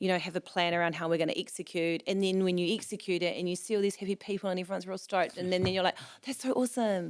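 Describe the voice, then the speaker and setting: Over a silent background in a very clean recording, a woman with a New Zealand accent talks very fast with hardly any pauses. Her medium-pitched voice keeps fairly even intonation. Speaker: events organiser and magazine founder. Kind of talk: casual chat. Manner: loud, talkative.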